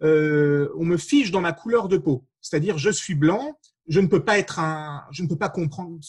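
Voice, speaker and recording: Pitched high, a man speaks with lively intonation. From France. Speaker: author, panelist. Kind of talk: panel discussion. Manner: hesitant, many fillers.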